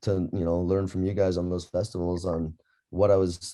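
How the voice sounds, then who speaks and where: A man speaks with a very deep, low pitch and a dark, mellow tone. His moderate pace carries an Upper Midwest accent. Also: very clean recording, silent background. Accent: Upper Midwest American. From Minnesota, Cook County. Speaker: birding instructor, interviewer. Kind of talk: interview.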